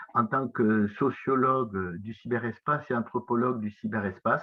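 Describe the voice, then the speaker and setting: In a southwestern French accent, a man talks at medium pitch with fairly even intonation. His pace is fairly slow. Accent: south-west French. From south-west France. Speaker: professor. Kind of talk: lecture. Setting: conference talk. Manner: hesitant, many filler sounds.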